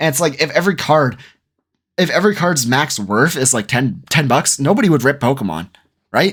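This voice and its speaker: The voice has vocal fry and very wide pitch swings. The recording is very clean, with a silent background. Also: man. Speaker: commentary youtuber. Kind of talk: video commentary. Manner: animated.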